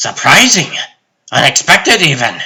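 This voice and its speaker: The speaker is a man using a put-on character voice. He talks at a fairly slow pace. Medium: fan dub. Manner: rambling, philosophical, whimsical.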